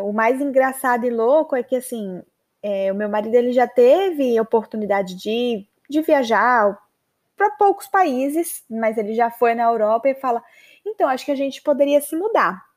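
With lively intonation and a high pitch, a woman talks at a moderate pace. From Maceió, northeastern Brazil. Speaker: podcast host, English teacher. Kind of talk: personal storytelling monologue. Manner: casual, chatty.

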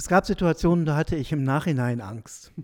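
In a dark, mellow tone, the man talks fairly quickly. The recording is dry and close with no echo. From northwestern Germany, Südoldenburg region. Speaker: pastoral sociologist and theology professor. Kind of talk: interview. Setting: office at his institute after hours.

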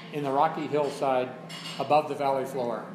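A man speaks with audible room echo while noticeable background noise lingers behind him. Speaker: fiction writer reading at open mic. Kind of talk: reading aloud. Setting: cafe with audience.

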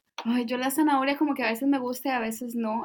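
A woman's high voice, fairly quick, with fairly even intonation. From Costa Rica. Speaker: podcast co-host. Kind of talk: casual chat.

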